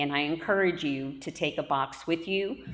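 Her very deep, low voice holds fairly even intonation as this woman speaks at a moderate pace. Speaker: pastor. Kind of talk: church announcements. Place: church. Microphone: camera far.

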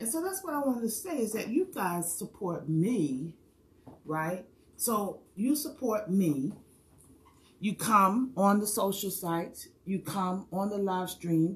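A woman at medium pitch sounds somewhat breathy, her intonation lively. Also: fairly slow pace. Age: 60s. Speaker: hair stylist and hula hoop fitness coach; hula hoop fitness coach. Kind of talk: live stream monologue. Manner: animated. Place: home room. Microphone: phone near.

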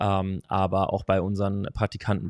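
A man with a fairly low pitch, dry sound with no echo, and a quiet background. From Hesse, Germany. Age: 20s. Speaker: strength and conditioning coach; conditioning coach. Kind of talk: casual interview. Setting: in person, same room. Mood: relaxed, friendly, smiling. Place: home room. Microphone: studio mic.

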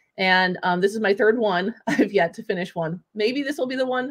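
Over a quiet background, a woman talks with ordinary pitch variation. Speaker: educator and show host. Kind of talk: casual chat. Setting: video call. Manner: animated. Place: home room. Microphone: video call.

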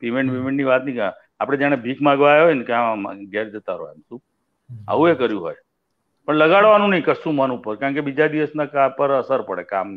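Lively intonation and big swings in loudness mark this voice against a quiet background. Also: man. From Gujarat, India. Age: 60s. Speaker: music director; guest. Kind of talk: casual interview. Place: home room. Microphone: video call.

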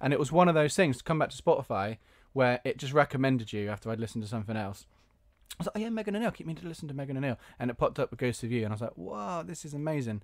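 Against a quiet background, a man talks at a very fast pace with very wide pitch swings and big swings in loudness. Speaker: podcast and radio host; podcast, radio host. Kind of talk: casual interview chat. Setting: home garage studio, video call. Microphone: video call.

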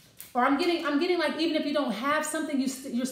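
Audible room echo surrounds a woman speaking with ordinary pitch variation. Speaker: card reader. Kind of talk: casual card reading talk to viewers. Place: kitchen. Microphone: phone near.

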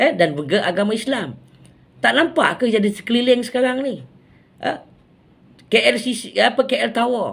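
A man with a Malaysian accent, extremely high pitch, lively intonation, a fairly slow pace, and long, frequent pauses. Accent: Malaysian Malay. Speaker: political commentator vlogger. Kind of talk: angry rant. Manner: indignant, sarcastic, scolding; rhetorical, mocking, emphatic.

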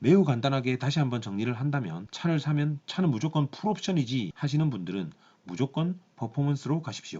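This man's voice sits fairly high and comes out somewhat breathy. He talks at a fairly quick pace with lively intonation. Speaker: car reviewer. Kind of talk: product review talk to camera.

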